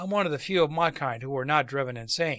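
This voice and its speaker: Putting on a raspy character voice, a man rattles along at a very fast pace with a fairly high pitch. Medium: read story. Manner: calm, casual, weary.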